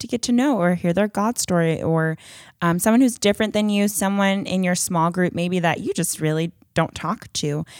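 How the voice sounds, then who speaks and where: A woman talks at a moderate pace. The recording is very clean with a silent background, and the sound is dry and close with no echo. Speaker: church young adults podcast co-host. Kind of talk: casual chat. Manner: loud; energetic.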